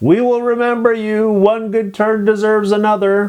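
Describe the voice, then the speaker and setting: Putting on a character voice, a man speaks at a moderate pace in a high pitch with monotone, flat intonation. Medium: read story.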